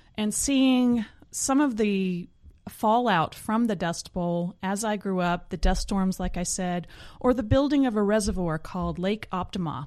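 A woman speaks at a fairly slow pace in an American accent, with a normal speaking voice at medium pitch and ordinary pitch variation. The recording is very clean, with a silent background. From Oklahoma panhandle, US. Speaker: scientist and science communicator. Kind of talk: casual interview.

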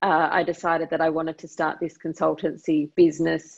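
This woman speaks with an Australian accent at a fairly low pitch. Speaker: fintech company co-CEO. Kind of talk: interview. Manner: halting, with frequent word repetitions.

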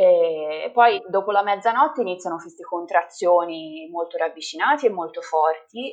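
In a normal speaking voice at a moderate pace, the speaker uses lively intonation and big swings in loudness, with hardly any pauses. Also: woman, medium pitch for a woman. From Italy, Livorno (Tuscany). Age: 30s. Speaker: mother of twins sharing her birth story. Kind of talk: interview testimony.

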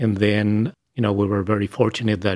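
A man with a fairly low pitch and an Argentine accent, at a moderate pace. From Argentina, Buenos Aires. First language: Spanish. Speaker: speech scientist. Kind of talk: interview.

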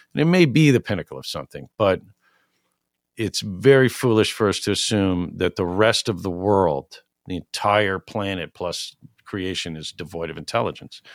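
With a plain, everyday voice and an American accent, a man speaks at a moderate pace and fairly low pitch, using lively intonation and big swings in loudness, in a dry, close sound with no echo on a very clean recording with a silent background. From New York City. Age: 40s. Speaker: music venue owner. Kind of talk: casual interview. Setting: studio.

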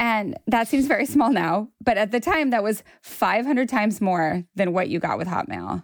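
Using a plain, everyday voice, a woman speaks at a moderate pace with fairly high pitch and lively intonation. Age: 40s. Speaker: writer. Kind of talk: casual chat.

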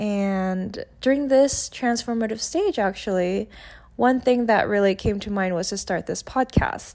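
With an animated tone and a Korean accent, the speaker goes at a fairly slow pace with ordinary pitch variation on a very clean recording with a silent background. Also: woman, fairly high pitch for a woman. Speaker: solo podcaster. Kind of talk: casual monologue. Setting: home recording.

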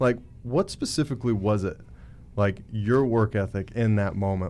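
With an American accent, a man with a fairly low voice and a dark, mellow tone speaks at a moderate pace with ordinary pitch variation. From Montana, small town. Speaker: podcast host, real estate brokerage leader. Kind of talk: casual interview.

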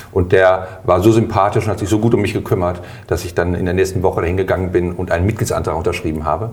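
Over noticeable background noise and audible room echo, a man talks at a very fast pace in a very deep, low pitch with fairly even intonation. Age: 50s. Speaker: health insurance board candidate. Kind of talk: interview.

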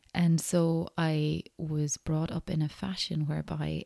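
Calm, gentle tone from a woman, fairly low and dark and mellow, with fairly even intonation and a dry, close sound with no echo. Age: 40s. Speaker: podcast host. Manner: calm, gentle, reflective with hesitations.

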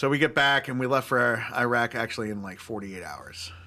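Lively intonation from a man with an American accent and a bright, sharp tone. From New York (Long Island, upstate). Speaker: army veteran. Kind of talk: interview.

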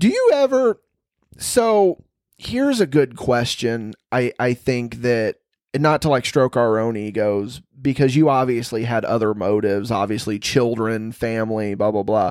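Speaking at a fairly slow pace, a man uses an unremarkable speaking voice of medium pitch. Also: ordinary pitch variation. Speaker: podcast host. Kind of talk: casual comedic chat. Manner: joking, conversational.

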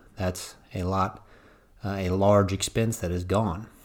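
With an unremarkable speaking voice, a man talks at a fairly low pitch and a fairly even intonation on a very clean recording with a silent background. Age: 20s. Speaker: firefighter and financial planner podcast host. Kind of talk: solo podcast monologue.

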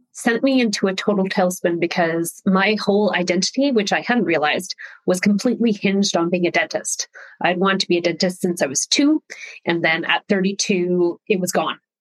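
In a Canadian accent, a woman with an ordinary speaking voice talks at a fairly quick pace, at a medium pitch with ordinary pitch variation. Her loudness stays very even, and the sound is dry and close with no echo. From Canada. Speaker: personal branding expert. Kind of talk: interview.

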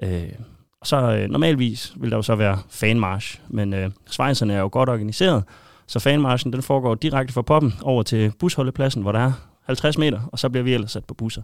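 Speaking at medium pitch with ordinary pitch variation, a man uses an ordinary speaking voice. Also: moderate pace. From Denmark, Aarhus area. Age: 30s. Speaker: football shirt collector and fan. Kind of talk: casual interview.

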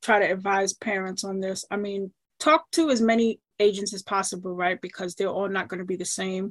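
A woman with an American accent and a medium pitch speaks at a moderate pace in an unremarkable speaking voice. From New York, Queens. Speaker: soccer agent. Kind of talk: casual interview.

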